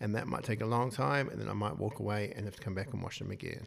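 This man talks at a very fast pace with a New Zealand accent and ordinary pitch variation. The recording is very clean, with a silent background. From New Zealand, Wellington. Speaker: clinical psychologist and author. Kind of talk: interview.

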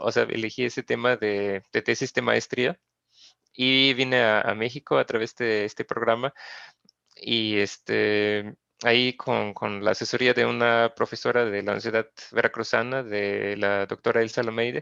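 The sound is dry and close, with no echo and a quiet background. A man speaks at a fairly slow pace. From Austria, Graz. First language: German (speaking Spanish). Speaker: geographer, researcher. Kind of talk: interview. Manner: halting, many fillers and repetitions.

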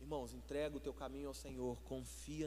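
A man is talking. His voice carries audible room echo. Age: 40s. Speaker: pastor. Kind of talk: sermon.

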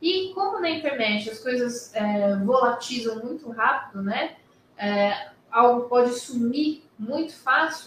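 Speaking very slowly, a woman uses a high voice with lively intonation. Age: 40s. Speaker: lawyer. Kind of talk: online talk to students.

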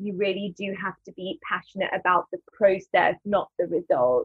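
A woman speaks with a London accent. Her pace is moderate. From London, England. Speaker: actress and spoken word artist. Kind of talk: casual interview. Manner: hesitant, with fillers.

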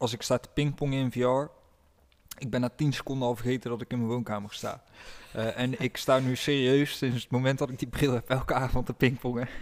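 The man has a medium pitch and talks at a fairly quick pace in a monotone, flat intonation. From Netherlands, village. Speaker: podcast co-host. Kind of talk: casual chat.

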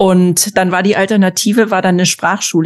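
A woman speaks in an ordinary speaking voice at a medium pitch. Her pace is fairly quick and her intonation fairly even. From former East Germany. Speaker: podcast host. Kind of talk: casual interview.

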